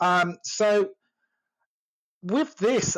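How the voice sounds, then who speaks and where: A man with an English accent. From England. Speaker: sales coach. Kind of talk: casual chat. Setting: audio chat room. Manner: hesitant, many fillers.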